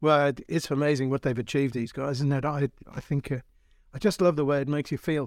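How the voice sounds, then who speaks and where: Very fast speech with fairly even intonation, in a very clean, silent recording with a dry, close sound and no echo. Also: man, fairly high pitch for a man. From Australia. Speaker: motoring journalist and podcast co-host. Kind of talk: casual chat and interview. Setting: club room at a heritage motoring site.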